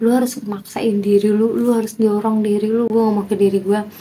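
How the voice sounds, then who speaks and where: Her somewhat breathy voice is dark and mellow, at a medium pitch for a woman. She moves at a fairly quick pace in a monotone, flat way. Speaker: vlogger doing a speaking challenge. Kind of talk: casual vlog monologue to camera. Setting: at home, talking to camera. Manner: unscripted, spontaneous.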